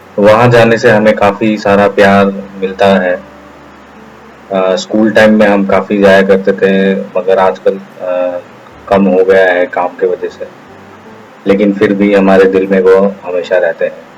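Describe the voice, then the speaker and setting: A man speaks with fairly low pitch and a monotone, flat delivery. He leaves long, frequent pauses, and there is noticeable background noise. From Shillong, Northeast India. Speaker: YouTuber. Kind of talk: vlog monologue. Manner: halting.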